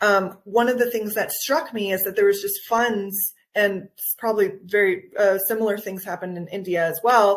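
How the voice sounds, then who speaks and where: A woman with a normal speaking voice talks in an American accent. Her medium pitch, fairly even intonation and moderate pace hold throughout. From Guatemala, raised by US parents. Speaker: nutritional anthropologist and wellness coach. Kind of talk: interview.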